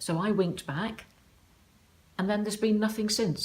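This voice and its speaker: A woman speaks fairly quickly in a southern English accent. Her voice is somewhat breathy, with fairly even intonation. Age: 60s. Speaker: online dater sharing her diary. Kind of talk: personal diary account.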